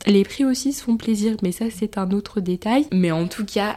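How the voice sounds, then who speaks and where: A woman's animated, medium-pitched voice with lively intonation at a moderate pace. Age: 20s. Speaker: podcaster and intern. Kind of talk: casual monologue.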